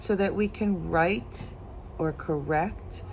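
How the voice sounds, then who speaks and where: A woman speaking at a very slow pace, with audible room echo. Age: 60s. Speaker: intuitive tarot card reader. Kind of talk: tarot reading monologue. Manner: casual, with frequent fillers.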